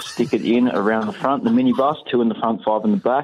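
A man talks at a fairly quick pace. He has a strong Australian accent. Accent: broad Australian. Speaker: listener caller telling jokes. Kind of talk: joke telling voice message.

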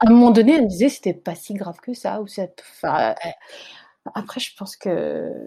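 A woman speaks with lively intonation. Her dark, mellow tone carries some vocal fry. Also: medium pitch for a woman, moderate pace. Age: 30s. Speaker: life coach and mother. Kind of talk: testimony.

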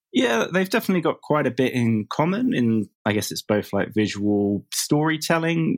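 In a dry, close sound with no echo, a man with an English accent talks at a moderate pace with hardly any pauses, his fairly high pitch making very wide swings. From England. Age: 30s. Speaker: comic book writer. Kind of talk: interview.

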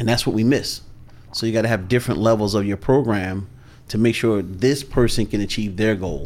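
In an ordinary speaking voice, a man talks at a fairly quick pace with fairly low pitch. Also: fairly even intonation. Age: 50s. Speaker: sales coach. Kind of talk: podcast interview.

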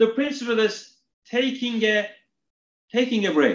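Speaking with a Turkish accent, a man talks at a fairly slow pace with a high pitch. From Turkey (Istanbul). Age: 40s. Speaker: retail executive. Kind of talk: interview. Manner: hesitant, repeats words.

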